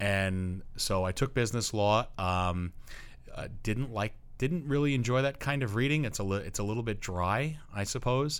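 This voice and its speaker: This man speaks at a moderate pace with an American accent. His pitch is medium, with ordinary variation. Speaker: high school English teacher. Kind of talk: casual interview. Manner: loud.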